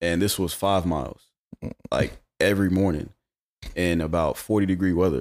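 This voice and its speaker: In a Southern US accent, a man with a very deep, low voice talks at a moderate pace with fairly even intonation, very even loudness and long, frequent pauses. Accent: US South. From Charlotte, North Carolina. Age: 30s. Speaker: former basketball player. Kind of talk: casual chat.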